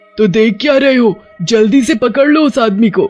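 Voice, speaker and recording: With faint music in the background, a man uses a cartoonish character voice at an extremely high pitch and a fairly quick pace. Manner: commanding, menacing.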